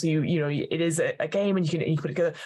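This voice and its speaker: A woman talks at a very fast pace with a fairly low pitch and ordinary pitch variation. Her voice is somewhat breathy. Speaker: podcast host and game master. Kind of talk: interview.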